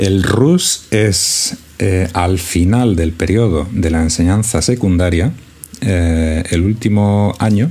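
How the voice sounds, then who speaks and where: Against noticeable background noise, a man with a very deep, low voice speaks with ordinary pitch variation. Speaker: podcast co-host. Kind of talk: casual chat.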